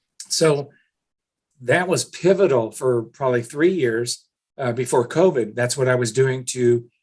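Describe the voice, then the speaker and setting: Speech comes at a fairly slow tempo. There is a somewhat breathy quality to it. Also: man. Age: 60s. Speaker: business owner and cold calling trainer. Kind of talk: podcast interview.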